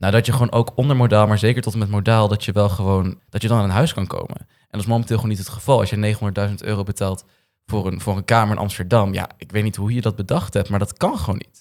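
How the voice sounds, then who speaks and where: Over a very clean recording with a silent background, a man with a fairly low pitch talks at a very fast pace, his loudness swinging widely while his intonation stays fairly even. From Noord-Holland, Netherlands. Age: 20s. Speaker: young politician. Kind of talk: political discussion.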